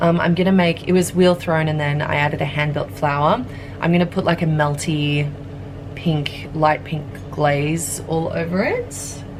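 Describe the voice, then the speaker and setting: A woman with an Australian accent speaks at a moderate pace, her pitch very deep and low, her intonation fairly even. Noticeable background noise and audible room echo fill the recording. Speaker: pottery studio manager and ceramic artist. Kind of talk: casual vlog narration. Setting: pottery studio. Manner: casual with frequent fillers. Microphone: camera without external microphone.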